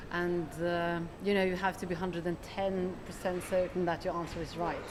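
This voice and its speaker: Audible room echo surrounds a woman with a fairly low pitch. She speaks at a moderate pace with monotone, flat intonation. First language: Norwegian. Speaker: economist, chief analyst. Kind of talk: interview. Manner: hesitant, many fillers.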